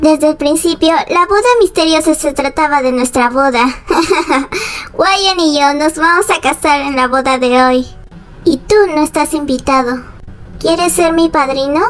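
A woman speaks at a high pitch and a moderate pace, with ordinary pitch variation and very even loudness. Background noise is clearly audible. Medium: fan dub. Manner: smug, mocking.

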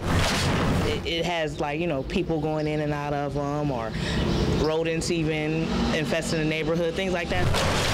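Loud background noise fills the recording. A woman speaks at a fairly slow pace. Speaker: neighborhood resident. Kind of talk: street interview answer. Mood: relieved, mildly upbeat. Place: street.

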